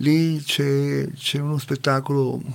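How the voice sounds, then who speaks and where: A man speaks at a fairly slow pace. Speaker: community radio participant. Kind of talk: casual chat. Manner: halting.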